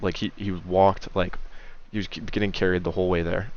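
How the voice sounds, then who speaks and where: Very deep, low tones from a man, monotone and flat, at a fairly quick pace. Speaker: sports betting podcast host. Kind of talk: solo podcast picks rundown. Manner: fast; casual with many filler uhs.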